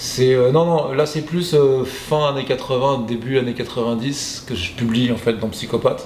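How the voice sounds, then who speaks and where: Amid noticeable background noise and audible room echo, a man speaks at a fairly slow pace with medium pitch and fairly even intonation. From southern Paris suburbs, France. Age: 40s. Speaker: graffiti artist and comic creator. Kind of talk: interview. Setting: exhibition in Montreal. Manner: hesitant, many fillers.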